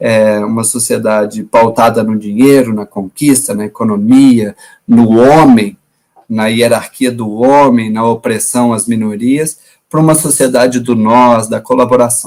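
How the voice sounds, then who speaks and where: With a Minas Gerais accent, this voice moves at a fairly slow pace with lively intonation. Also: man. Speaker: environmental education professor. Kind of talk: lecture.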